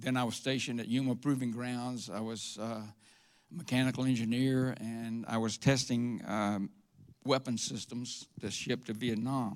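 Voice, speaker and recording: A man speaks with a Southern US accent at a medium pitch. The recording is very clean, with a silent background. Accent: Southern US (Georgia). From US South (Georgia, Atlanta area). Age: 70s. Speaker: church member giving testimony. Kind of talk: testimony. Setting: church stage with congregation. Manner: halting, with frequent uh.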